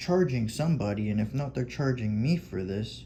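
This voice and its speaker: The man's dark, mellow tone comes across as somewhat breathy. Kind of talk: casual talk over screen recording. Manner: halting, spaced-out pauses.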